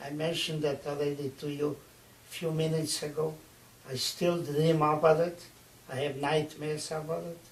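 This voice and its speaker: A moderate pace with monotone, flat intonation over noticeable background noise. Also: man, fairly high pitch for a man. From eastern Czechoslovakia. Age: 80s+. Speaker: Holocaust survivor. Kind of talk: interview by students.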